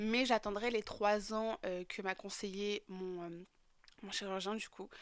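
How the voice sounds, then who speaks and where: On a very clean recording with a silent background, a woman speaks at medium pitch. Her pace is moderate and her intonation monotone and flat. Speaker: vlogger. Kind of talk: personal vlog testimony. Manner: hesitant, many fillers.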